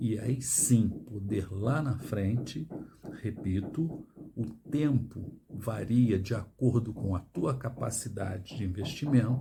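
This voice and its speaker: Somewhat breathy and dark, mellow in tone, a man speaks at a very slow pace in a medium pitch with ordinary pitch variation. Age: 60s. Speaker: financial education youtuber. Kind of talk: monologue to camera. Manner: emphatic.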